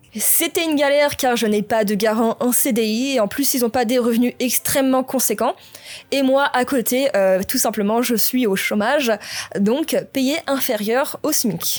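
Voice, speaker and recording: At a fairly slow pace, a woman speaks in a high voice with very even loudness. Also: ordinary pitch variation. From France, Normandy. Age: 20s. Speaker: gaming YouTuber. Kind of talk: personal vlog confession.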